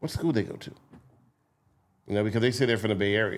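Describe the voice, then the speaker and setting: This is a man's voice at a medium pitch. His pitch varies in an ordinary way. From Philadelphia and Camden, New Jersey. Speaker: TV news journalist. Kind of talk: casual podcast interview.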